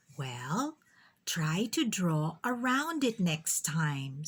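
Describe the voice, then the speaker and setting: A woman puts on a character voice at a fairly low pitch, with very wide pitch swings and a very slow pace, on a very clean recording with a silent background. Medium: read story. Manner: firm, practical.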